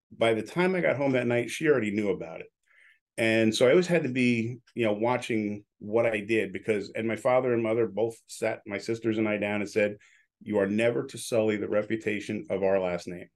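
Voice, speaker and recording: A man with an unremarkable speaking voice at medium pitch, ordinary pitch variation, and a quiet background. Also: fairly quick pace. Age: 60s. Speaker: radio broadcaster and entrepreneur. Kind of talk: casual chat.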